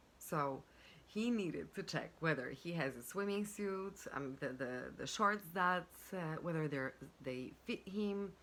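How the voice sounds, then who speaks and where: A woman's fairly low voice with lively intonation at a fairly slow pace. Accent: non-native. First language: not English. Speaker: life and business coach. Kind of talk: self-help talk to camera. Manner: halting, with many fillers.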